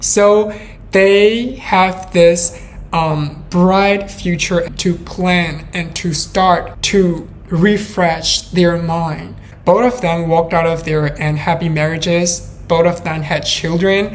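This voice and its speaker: Over noticeable background noise and audible room echo, a woman with a non-native accent speaks very slowly in a fairly low voice. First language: not English. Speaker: true crime podcaster. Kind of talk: storytelling narration. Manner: hesitant, with fillers.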